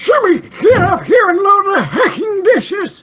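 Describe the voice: An extremely high-pitched, shouting put-on character voice at a moderate pace.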